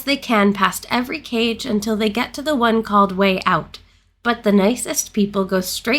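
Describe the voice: Reading aloud, plainly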